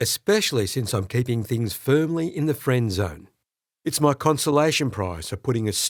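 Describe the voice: The intonation is lively in this plain reading aloud, and the background is quiet.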